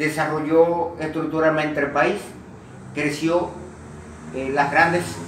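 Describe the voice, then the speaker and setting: The speech comes at a very slow pace. Audible room echo and noticeable background noise surround it. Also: man. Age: 60s. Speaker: interviewee. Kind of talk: interview. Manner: halting, many fillers.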